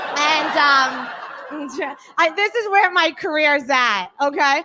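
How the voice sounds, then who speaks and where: On a very clean recording with a silent background, a woman with a strong New York accent speaks fairly slowly in a high, bright, sharp, raised and projected voice full of lively intonation. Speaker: stand-up comedian. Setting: stage. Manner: comic, conversational delivery.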